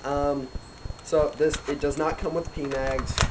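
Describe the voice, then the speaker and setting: A man's monotone, flat voice over noticeable background noise. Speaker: airsoft reviewer. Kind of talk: product review. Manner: hesitant, many fillers; casual.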